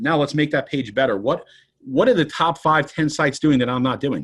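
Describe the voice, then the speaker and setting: Against a quiet background, a man speaks in a fairly high pitch with vocal fry and lively intonation. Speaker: personal injury lawyer. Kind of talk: podcast interview. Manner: fast.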